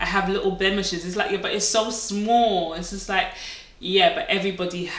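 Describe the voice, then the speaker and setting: A woman's fairly even intonation amid noticeable background noise and audible room echo. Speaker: beauty vlogger. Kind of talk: casual monologue to camera.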